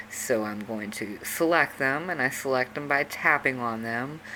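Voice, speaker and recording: Through noticeable background noise, a woman speaks with a very deep, low pitch and ordinary pitch variation. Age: 40s. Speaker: video tutorial creator. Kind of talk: tutorial. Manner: casual, with fillers.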